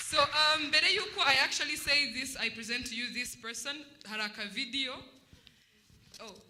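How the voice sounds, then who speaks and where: In a Rwandan accent, the loud voice moves at a moderate pace, broken by long, frequent pauses. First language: Kinyarwanda. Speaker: former student debater. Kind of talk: speech at a celebration.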